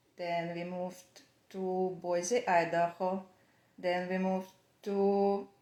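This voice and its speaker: A woman's dark, mellow voice at medium pitch, very slow, with monotone, flat intonation, in a Russian accent. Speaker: knitwear designer. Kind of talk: casual chat. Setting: Instagram live video. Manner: halting.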